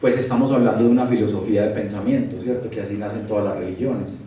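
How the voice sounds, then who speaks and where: With a Bogotá accent and ordinary pitch variation, a man speaks amid audible room echo and noticeable background noise. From Colombia, Medellín (paisa). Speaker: architect and history lecturer. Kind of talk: lecture. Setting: live audience at a talk.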